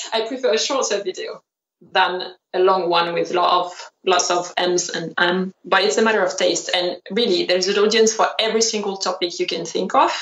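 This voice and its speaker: With a French accent, a woman talks at a moderate pace and medium pitch, her intonation fairly even. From France. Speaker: fashion designer and YouTuber. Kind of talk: interview.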